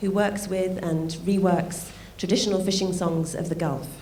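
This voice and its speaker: A woman's medium-pitched voice, monotone and flat, with audible room echo. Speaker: art fair director. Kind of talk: welcome speech.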